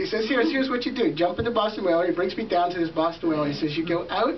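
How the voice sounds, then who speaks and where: Noticeable background noise accompanies a man speaking at a high pitch. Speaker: event host. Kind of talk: storytelling speech. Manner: soft-spoken; halting.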